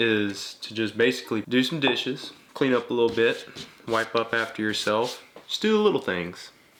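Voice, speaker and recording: Over noticeable background noise, a man with a relaxed tone speaks at a moderate pace and medium pitch. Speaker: coffee channel host. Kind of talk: casual tutorial talk to camera. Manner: relaxed, chatty.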